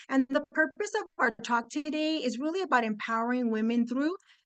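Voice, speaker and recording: A woman with a Spanish accent, high pitch, fairly quick pace and lively intonation, dry and close with no echo. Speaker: construction industry speaker. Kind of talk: webinar presentation. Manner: animated.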